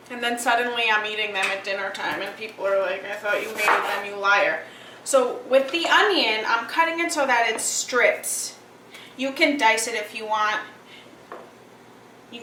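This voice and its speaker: Noticeable background noise and audible room echo surround a woman's high-pitched voice. She talks at a moderate pace with lively intonation. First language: Greek. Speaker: cooking show host. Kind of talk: cooking tutorial. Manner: casual, chatty.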